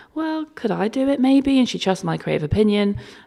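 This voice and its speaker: On a very clean recording with a silent background, a woman speaks with a South London accent. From London, Peckham. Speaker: creative director and stylist. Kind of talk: casual interview chat. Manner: animated.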